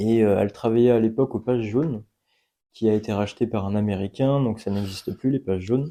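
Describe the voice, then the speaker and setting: A man talks at a fairly quick pace in a medium pitch, his intonation fairly even. His tone is dark and mellow, and the background is quiet. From France, Poitiers area. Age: 20s. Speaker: apprentice youth sports worker. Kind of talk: radio interview. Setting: outdoor courtyard.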